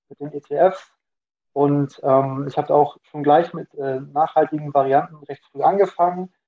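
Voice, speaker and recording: A man with an unremarkable speaking voice and fairly high pitch keeps his intonation fairly even while his loudness swings widely. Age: 20s. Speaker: student and finance content creator. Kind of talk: casual interview.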